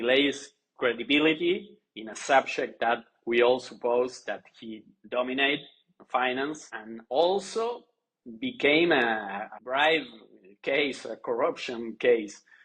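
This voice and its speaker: At a very slow pace with a Spanish accent, the voice shows ordinary pitch variation and big swings in loudness. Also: man. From Argentina. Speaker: journalist, newspaper editor. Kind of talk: interview on podcast. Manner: halting.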